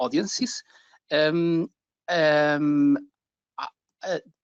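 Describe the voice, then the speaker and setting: At a very slow pace, the speaker talks with a Portuguese accent and ordinary pitch variation, in a dry, close sound with no echo against a quiet background. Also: man. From Portugal. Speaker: caller, digital marketing agency owner. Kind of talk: live Q&A question. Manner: halting, many fillers.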